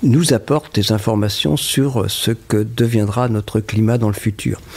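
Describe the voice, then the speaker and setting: Over noticeable background noise, a man talks at a very slow pace, his medium pitch showing ordinary variation. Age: 70s. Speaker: glaciologist, climate scientist. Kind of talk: interview answer.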